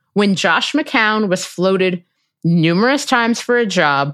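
A woman with an American accent and a normal speaking voice, medium in pitch, at a fairly slow pace with lively intonation, on a very clean recording with a silent background. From US Midwest, Cincinnati, Ohio. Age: 30s. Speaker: podcast host and opinion writer. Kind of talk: casual interview.

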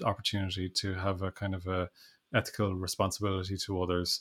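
In an Irish accent, a man speaks at a moderate pace on a very clean recording with a silent background. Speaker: education researcher and author. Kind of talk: interview. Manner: halting, frequent fillers and restarts.

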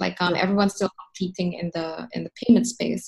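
Medium-pitched, somewhat breathy female voice. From Philippines (Manila). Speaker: startup founder. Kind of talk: interview.

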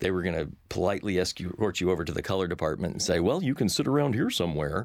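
A man with a Texan accent speaks at a very deep, low pitch. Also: very clean recording, silent background. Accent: Texan, audible. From Texas. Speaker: cartoon producer. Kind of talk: interview. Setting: studio.

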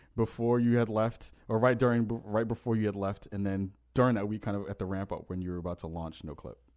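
A man talks at a fairly quick pace, his medium-pitched voice dark and mellow in tone. The recording is very clean, with a silent background. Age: 30s. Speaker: podcast host. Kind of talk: casual chat.

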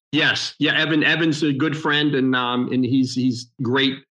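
At a moderate pace, a man talks in a medium pitch with a monotone, flat intonation. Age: 50s. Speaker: car collector and car show organizer. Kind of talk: casual interview chat. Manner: halting, many fillers.

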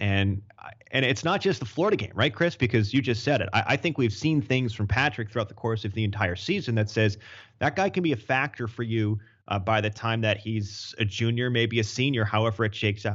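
A somewhat breathy male voice at a fairly quick pace. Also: medium pitch for a man, ordinary pitch variation. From Maine, US. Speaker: sports play-by-play broadcaster. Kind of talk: casual sports talk interview.

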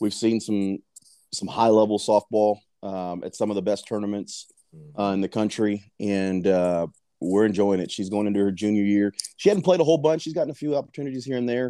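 A man's fairly low, dark and mellow voice in a Texan accent, with ordinary pitch variation and a fairly quick pace. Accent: Texan American English. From Texas, south side of San Antonio. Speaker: youth softball coach. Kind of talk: casual chat.

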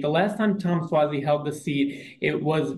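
This man speaks with a fairly high pitch and a somewhat breathy sound. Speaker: political reporter. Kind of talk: interview.

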